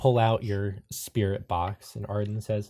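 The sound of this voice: An unforced reading voice is heard here.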